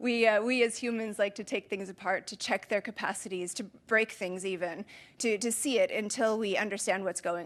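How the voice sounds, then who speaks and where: With an American accent, a woman talks at a fairly quick pace and a medium pitch. Her intonation is fairly even, and the background is quiet. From US. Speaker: conference speaker with a PhD in nanotechnology. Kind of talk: conference talk. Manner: fast.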